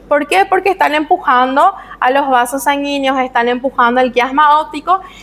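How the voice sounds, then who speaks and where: A woman with a high pitch speaks at a moderate pace. Her intonation is lively over noticeable background noise. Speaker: medical lecturer. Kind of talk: lecture.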